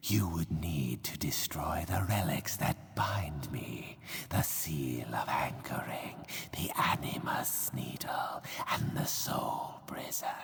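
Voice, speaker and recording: A man whispers in a cartoonish character voice. He goes at a very slow pace. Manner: formal, archaic.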